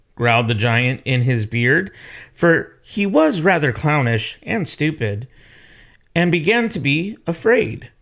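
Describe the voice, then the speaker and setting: Very slowly and with very wide pitch swings, a man with fairly high pitch speaks in a very clean recording with a silent background. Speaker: storyteller reading aloud to children. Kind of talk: children's story read-aloud.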